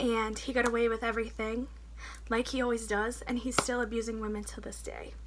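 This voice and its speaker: Amid audible room echo and noticeable background noise, a woman's speech moves fairly quickly. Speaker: vlogger sharing personal story. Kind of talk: personal testimony.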